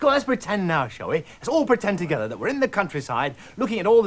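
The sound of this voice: Intonation here is lively. The delivery is an unforced reading voice.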